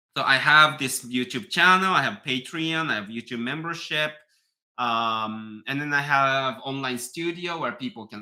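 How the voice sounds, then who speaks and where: Heard in a very clean recording with a silent background, a man with a Japanese accent speaks at a moderate pace in a medium pitch, with ordinary pitch variation and big swings in loudness. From Japan, near Tokyo. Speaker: piano teacher and YouTuber. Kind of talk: live stream chat reading viewer comments. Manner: halting, many fillers.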